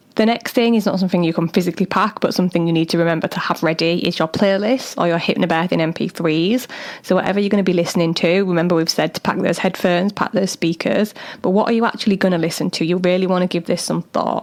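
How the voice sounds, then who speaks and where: A woman's fairly low pitch at a very fast pace, with fairly even intonation, very even loudness, and noticeable background noise. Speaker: doula and podcast host. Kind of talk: solo podcast talk. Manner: casual, chatty.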